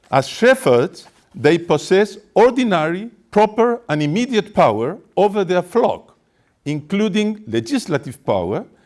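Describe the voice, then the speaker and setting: A man talks with a high pitch and very wide pitch swings, in a Spanish accent. His pace is fairly slow. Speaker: activist speaker. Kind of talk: press conference statement. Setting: press conference. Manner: formal.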